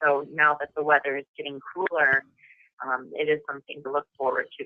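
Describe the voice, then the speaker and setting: A woman speaks in a very deep, low pitch at a fairly quick pace. She has a Midwestern accent. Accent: Midwest. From US Midwest, Madison, Wisconsin. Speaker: actress. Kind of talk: interview.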